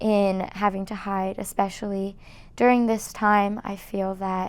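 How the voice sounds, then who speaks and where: Over a silent background in a very clean recording, a woman speaks at a fairly slow pace with a medium pitch. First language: Farsi. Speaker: college student interviewee. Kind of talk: documentary interview.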